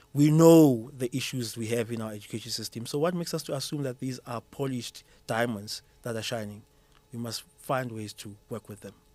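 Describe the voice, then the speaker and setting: Speaking with a Zulu accent at a fairly quick pace, a man with a medium pitch and a dark, mellow tone uses ordinary pitch variation and big swings in loudness. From South Africa. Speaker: school mathematics educator. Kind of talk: podcast interview. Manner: repetitive restarts, stammering.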